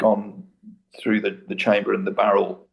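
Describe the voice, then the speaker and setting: A man talks at a moderate pace. He has an East Midlands accent. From Britain. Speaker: debate guest, researcher. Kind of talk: debate.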